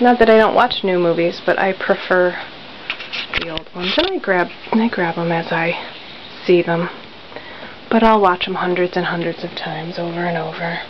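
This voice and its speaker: Long, frequent pauses break up the speech, with noticeable background noise behind it. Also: moderate pace. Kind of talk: casual vlog chat. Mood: relaxed and content. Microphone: phone near.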